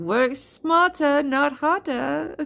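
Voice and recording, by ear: A female-sounding voice puts on a character voice in a Russian accent. The pitch is high for a woman.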